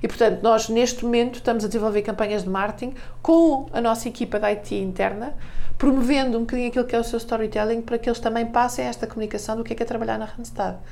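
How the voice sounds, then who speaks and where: This woman speaks at a very fast pace in a fairly high voice. Her intonation stays monotone and flat. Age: 40s. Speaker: marketing director and author. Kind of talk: radio interview.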